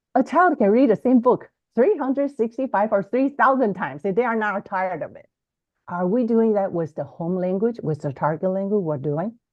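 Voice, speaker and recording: A woman with a Chinese accent speaks at a fairly quick pace in a fairly high pitch. Her voice shows very wide pitch swings and big swings in loudness. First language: Mandarin Chinese. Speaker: bilingual education author and podcaster. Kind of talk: interview. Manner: halting, frequent repetitions.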